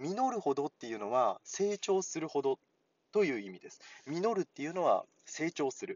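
A man talks at a moderate pace with a fairly high pitch. His pitch swings very widely and his loudness shifts a lot. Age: 30s. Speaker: Japanese language teacher podcaster. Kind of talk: casual language lesson.

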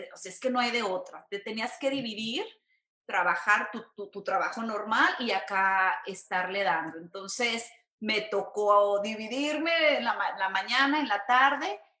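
A woman with a Mexican accent, fairly high-pitched, speaking at a fairly slow pace with ordinary pitch variation. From Mexico, San Luis Potosí. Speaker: entertainment reporter. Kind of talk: casual interview.

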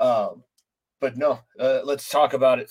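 This is a normal speaking voice delivered at a fairly slow pace. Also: man. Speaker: sports podcast host. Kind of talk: casual chat.

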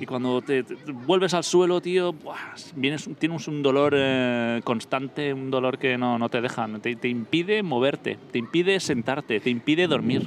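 Using an ordinary speaking voice, a man speaks at a medium pitch and a fairly slow pace, with ordinary pitch variation and hardly any pauses. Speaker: podcast co-host. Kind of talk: casual chat. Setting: on location at a cinema complex.

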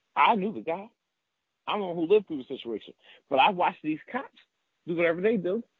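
A man's high-pitched voice at a very fast pace, broken by long, frequent pauses. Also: lively intonation. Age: 30s. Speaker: formerly incarcerated guest. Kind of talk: interview testimony.

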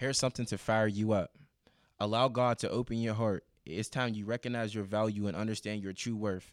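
An American man with an unremarkable speaking voice talks at a fairly low pitch with fairly even intonation, in a very clean recording with a silent background. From US, east side of Pittsburgh. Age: 20s. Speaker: motivational speaker. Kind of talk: motivational speech; casual interview chat.

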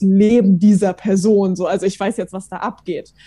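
Her tone is dark and mellow, her pitch medium. This woman keeps a moderate pace and fairly even intonation. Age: 20s. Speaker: theology student. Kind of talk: casual chat.

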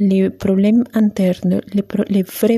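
Somewhat breathy and dark, mellow in tone, a woman speaks in a calm, soothing tone with monotone, flat intonation at a very slow pace. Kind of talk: guided meditation. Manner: slow, calm, soothing, with long pauses; gentle, instructive, switching between French and Spanish.

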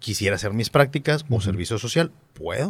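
Someone talks very fast in a Monterrey accent. The voice sounds somewhat breathy, with lively intonation. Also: man. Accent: Monterrey (regio). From Monterrey, Mexico. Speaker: reporter. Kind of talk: interview. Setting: studio.

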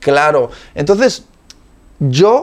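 A man with a fairly high pitch, a dark, mellow tone, and lively intonation. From Spain. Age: 30s. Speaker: preacher. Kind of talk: interview conversation.

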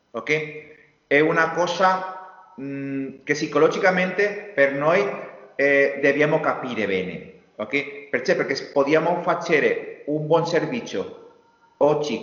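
With a Spanish accent, a man talks at a very slow pace and a fairly high pitch with ordinary pitch variation. Audible room echo is present. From Spain, Valencia area. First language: Spanish (speaking Italian). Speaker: industrial designer. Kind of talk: interview. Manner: halting.

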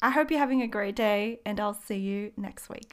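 A woman with a plain, everyday voice speaks at a fairly high pitch with ordinary pitch variation. The recording is very clean, with a silent background. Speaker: podcast host and small business owner. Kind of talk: casual solo monologue. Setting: home studio.

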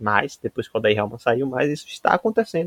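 This man talks at a fairly quick pace and a medium pitch. The sound is dry and close, with no echo. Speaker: sports podcast co-host. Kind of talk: casual comedic sports chat.

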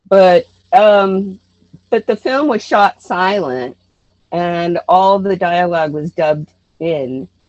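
A woman with an American accent speaks very slowly at medium pitch with lively intonation. She takes long, frequent pauses. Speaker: actress and artist. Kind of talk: interview.

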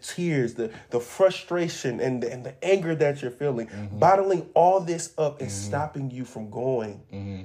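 A man speaks at a moderate pace in a dark, mellow, somewhat breathy tone. His pitch swings very widely on a very clean recording with a silent background. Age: 30s. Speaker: podcast host. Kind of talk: direct address to listeners; casual chat.

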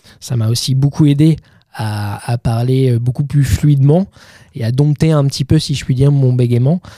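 A man with a medium pitch and a somewhat breathy voice speaks with fairly even intonation. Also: moderate pace. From Normandy, Calvados (Bayeux). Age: 30s. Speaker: film director. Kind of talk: interview. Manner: halting with repetitions.

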